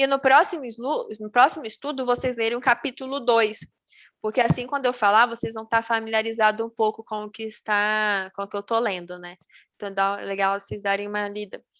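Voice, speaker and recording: Here is an ordinary speaking voice: a woman talking at a fairly quick pace in a fairly high pitch, with ordinary pitch variation. Her loudness swings widely, and the sound is dry and close with no echo. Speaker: Bible study teacher. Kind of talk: Bible study on video call.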